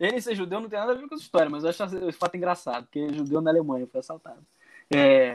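The delivery is very fast, with lively intonation and big swings in loudness. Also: man, high pitch for a man. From Rio de Janeiro, Brazil. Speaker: former exchange student. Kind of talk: casual chat.

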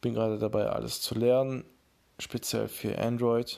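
Very clean recording with a silent background. A man speaks at a fairly slow pace. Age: 20s. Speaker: podcast host and beat producer. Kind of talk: casual solo podcast intro.

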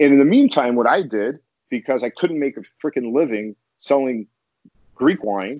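An American accent from a man at medium pitch, with ordinary pitch variation, a moderate pace, and long, frequent pauses. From US Midwest, Chicago. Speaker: wine importer. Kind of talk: casual interview.

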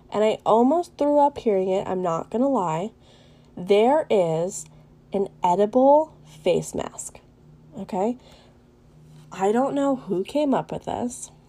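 A woman's fairly high voice at a very slow pace, with lively intonation and long, frequent pauses. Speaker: podcast host. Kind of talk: casual chat.

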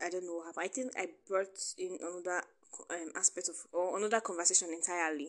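Speaking at a fairly quick pace, a woman has a medium pitch. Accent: Nigerian. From Nigeria. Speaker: podcast host. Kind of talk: personal monologue. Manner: casual, laughing often.

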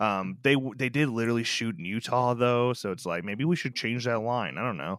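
A man with an American accent has an unremarkable speaking voice, medium in pitch with ordinary pitch variation. He talks at a fairly quick pace on a very clean recording with a silent background. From northern Illinois. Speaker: podcast co-host. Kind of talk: casual film review chat.

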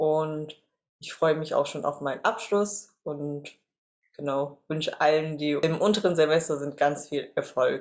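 Her voice is very deep and low, and this woman speaks at a fairly slow pace. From Reutlingen, Swabia, Germany. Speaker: social work student. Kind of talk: interview. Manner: hesitant, many fillers.

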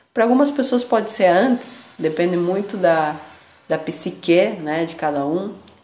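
With lively intonation and a fairly slow pace, the voice comes through audible room echo and noticeable background noise. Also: woman, medium pitch for a woman. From Argentina, Buenos Aires. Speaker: spiritual podcast host. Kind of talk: reflective monologue.

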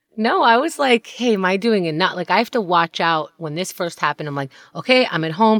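A woman with a plain, everyday voice at medium pitch speaks at a fairly quick pace with lively intonation, on a very clean recording with a silent background and a dry, close sound with no echo. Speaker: podcast co-host. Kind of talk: casual chat. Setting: home closet, isolation.

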